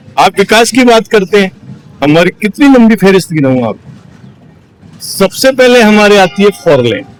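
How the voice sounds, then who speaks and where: A man's high-pitched, lively voice with long, frequent pauses, dry and close with no echo, music in the background. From Rajasthan, Sikar district (Shri Madhopur). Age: 60s. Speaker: local politician, party worker. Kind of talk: interview for a ground report.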